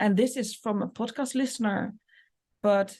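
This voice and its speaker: A somewhat breathy woman with a Dutch accent, a dark, mellow tone and fairly even intonation, against a quiet background. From Netherlands. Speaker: business coach and medium. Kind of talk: podcast monologue.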